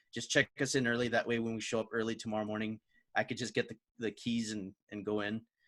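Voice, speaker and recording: Talking very fast in a flat, monotone way, a man with a medium pitch and an American accent is heard on a very clean recording with a silent background. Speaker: podcast host. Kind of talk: casual chat. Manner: halting, many fillers.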